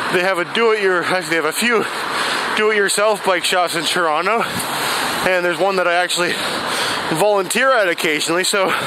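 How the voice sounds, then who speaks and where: The speech moves at a very fast pace. Loud background noise runs underneath. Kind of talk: casual vlog chat. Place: bicycle.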